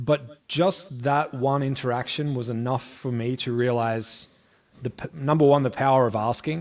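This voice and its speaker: In an Australian accent, a man speaks at a medium pitch and moderate pace with fairly even intonation. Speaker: music streaming expert and musician. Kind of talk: interview.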